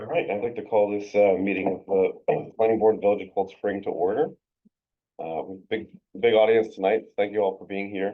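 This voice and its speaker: Quiet and fairly low-pitched, a man speaks at a moderate pace with fairly even intonation. His loudness swings widely. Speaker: planning board chair. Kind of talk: public meeting. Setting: village hall meeting room. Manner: too quiet; halting, many fillers.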